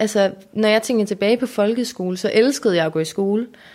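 In an ordinary speaking voice, a woman talks at a fairly quick pace with fairly high pitch and fairly even intonation, on a very clean recording with a silent background. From Denmark, Aarhus area (Lystrup). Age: 20s. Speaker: YouTuber. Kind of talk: casual interview.

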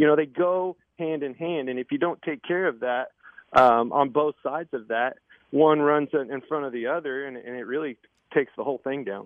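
In a normal speaking voice with an American accent, a man talks at a moderate pace with fairly high pitch and ordinary pitch variation. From Kansas. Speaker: retired race car driver turned broadcaster. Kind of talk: casual interview.

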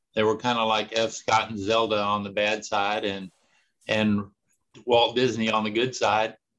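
Over a quiet background, a man with an American accent talks at a fairly low pitch in a flat, monotone delivery. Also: moderate pace. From Texas. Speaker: restaurateur. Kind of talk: interview. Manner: halting.

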